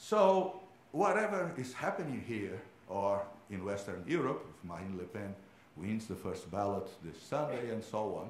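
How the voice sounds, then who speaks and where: With a Portuguese accent, a man speaks at a moderate pace in a fairly low pitch with very wide pitch swings, with noticeable background noise and audible room echo. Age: 60s. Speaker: economics professor. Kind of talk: conference talk. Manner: hesitant, many fillers.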